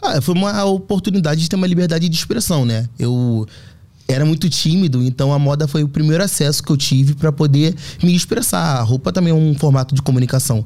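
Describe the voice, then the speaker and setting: Speaking at a very fast pace, a man with a fairly high pitch keeps his loudness very even. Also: ordinary pitch variation. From Rio de Janeiro, north zone. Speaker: fashion artist and communicator. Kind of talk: interview conversation.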